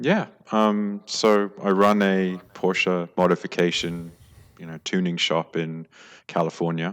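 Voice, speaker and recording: A man's very deep, low voice in an American accent, fairly slow and fairly even in intonation, with big swings in loudness, on a very clean recording with a silent background. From London, England. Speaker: Porsche tuning shop owner. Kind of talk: casual interview chat.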